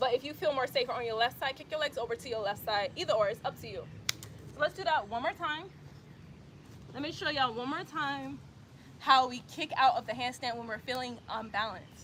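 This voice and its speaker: A woman with a Southern US accent speaks at a fairly quick pace in a high pitch, with ordinary pitch variation, big swings in loudness, and noticeable background noise. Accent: Southern US accent, called country by some. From US South, Atlanta, Georgia. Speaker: yoga instructor. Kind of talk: tutorial. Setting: outdoors, livestream. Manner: casual, conversational.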